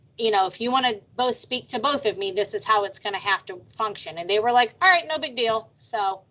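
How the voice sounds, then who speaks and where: A woman talks loudly at a fairly quick pace with hardly any pauses, her fairly high voice bright and sharp in tone. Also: lively intonation. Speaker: trauma program manager. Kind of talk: video meeting discussion.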